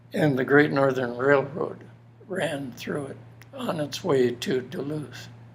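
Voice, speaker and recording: A man with an American accent talks at a very slow pace, his pitch varying in an ordinary way. Audible room echo and noticeable background noise surround him. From Minnesota, US Upper Midwest. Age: 80s+. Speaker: elderly interviewee sharing life story. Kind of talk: personal testimony interview. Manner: halting, many fillers.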